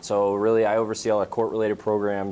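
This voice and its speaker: This man has a New England accent. His pitch is fairly low. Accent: New England American. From Western Massachusetts. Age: 20s. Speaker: brain injury prevention program manager. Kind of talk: talk to students. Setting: school audience.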